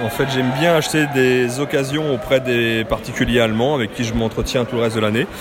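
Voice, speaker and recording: A man's medium-pitched voice at a very fast pace with hardly any pauses, plus audible room echo and noticeable background noise. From western France, Loire-Atlantique. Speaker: board game enthusiast. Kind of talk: casual interview. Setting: board game convention.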